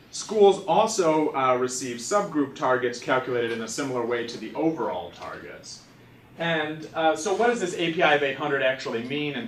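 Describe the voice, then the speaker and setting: A loud man speaks at a moderate pace with a fairly high pitch that swings very widely. Audible room echo and noticeable background noise surround him. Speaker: education policy researcher. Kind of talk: lecture. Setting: seminar room with audience.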